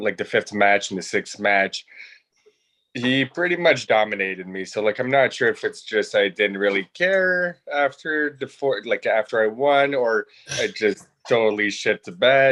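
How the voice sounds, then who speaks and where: Against a quiet background, a man with a French-Canadian accent talks at a fairly slow pace in a bright, sharp tone, his medium pitch carrying lively intonation. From northeastern Ontario, Canada (Franco-Ontarian). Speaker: trivia game winner. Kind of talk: casual chat.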